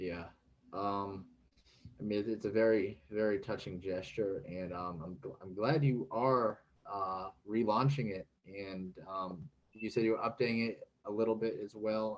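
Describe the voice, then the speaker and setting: Fairly low in pitch, a man with an unremarkable speaking voice moves at a fairly slow pace with fairly even intonation. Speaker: interviewer, former Marine. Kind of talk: interview questions.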